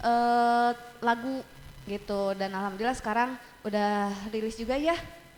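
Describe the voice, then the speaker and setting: A woman speaks at a fairly slow pace with fairly even intonation. Her pitch is fairly high, in an ordinary speaking voice. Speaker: teacher and metalcore scream vocalist. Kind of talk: casual chat. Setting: studio.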